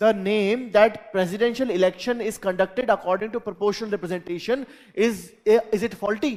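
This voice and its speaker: With an Indian accent, a man talks at a fairly quick pace and with ordinary pitch variation. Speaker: teacher. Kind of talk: lecture. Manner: repetitive.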